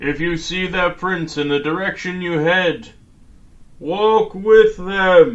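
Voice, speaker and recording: Putting on a character voice, a man talks at a fairly slow pace and high pitch with ordinary pitch variation. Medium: read story. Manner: earnest, grave.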